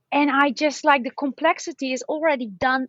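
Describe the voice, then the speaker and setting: A woman with a non-native accent speaks in a high pitch. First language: not English. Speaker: podcaster. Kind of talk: casual interview chat. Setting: call from balcony. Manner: energetic.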